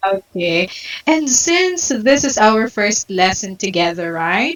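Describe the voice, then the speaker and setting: Over music in the background, a woman with a medium pitch speaks very slowly, her pitch swinging very widely. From Philippines, General Santos City (Mindanao). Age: 20s. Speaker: online English tutor. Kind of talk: online English lesson, conversation. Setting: video call.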